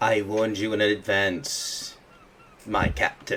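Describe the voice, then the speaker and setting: At a fairly slow pace, a man performs a put-on character voice. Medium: actual play.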